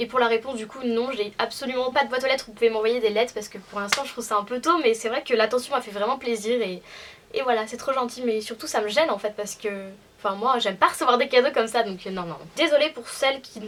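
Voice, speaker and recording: A very fast, fairly high-pitched woman with ordinary pitch variation and big swings in loudness. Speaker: youtuber. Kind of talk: casual chat, Q&A. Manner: hesitant, lots of fillers.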